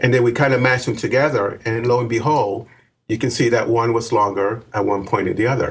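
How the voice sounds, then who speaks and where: Somewhat breathy, a man speaks at medium pitch and a fairly quick pace, with very even loudness and fairly even intonation. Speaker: Mars researcher. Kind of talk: interview.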